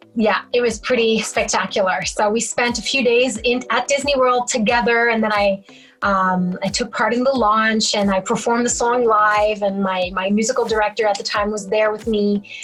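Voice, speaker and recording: With a fairly high pitch, a woman speaks at a moderate pace in very even loudness and fairly even intonation over noticeable background noise. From Quebec, Canada. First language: French. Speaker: singer-songwriter. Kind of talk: interview.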